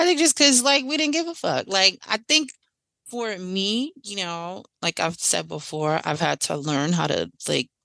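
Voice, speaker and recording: Bright, sharp tone from a woman with lively intonation at a moderate pace, dry and close with no echo against a quiet background. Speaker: podcast co-host. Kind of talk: casual chat. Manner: loud.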